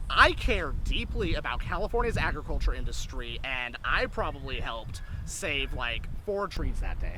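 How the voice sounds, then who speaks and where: A man puts on a whiny character voice, his tone whiny throughout. He keeps a moderate pace with hardly any pauses, over loud background noise. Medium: comedy sketch. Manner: whiny, exasperated.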